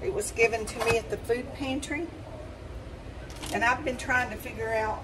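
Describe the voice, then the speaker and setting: A woman speaks in a high voice at a fairly slow pace. Noticeable background noise runs underneath. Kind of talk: casual cooking vlog chat. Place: kitchen. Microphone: phone near.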